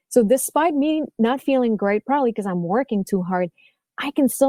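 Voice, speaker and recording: A dark, mellow tone with lively intonation and a French-Canadian accent. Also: woman, dry, close sound with no echo. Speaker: violin teacher and podcast host. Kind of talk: interview conversation. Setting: podcast interview.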